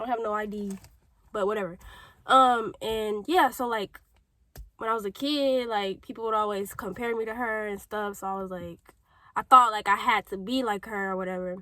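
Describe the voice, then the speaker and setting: On a very clean recording with a silent background, a woman with an American accent speaks at a moderate pace with a bright, sharp tone, a fairly high pitch, ordinary pitch variation, and long, frequent pauses. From St. Louis, Missouri, US Midwest. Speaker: YouTuber. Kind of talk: testimony. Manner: rambling tangents, casual.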